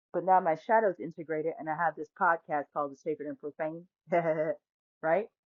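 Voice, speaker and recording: A woman's fairly low voice at a fairly quick pace, with ordinary pitch variation and long, frequent pauses. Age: 40s. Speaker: podcast host and tarot reader. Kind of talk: personal storytelling monologue. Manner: animated.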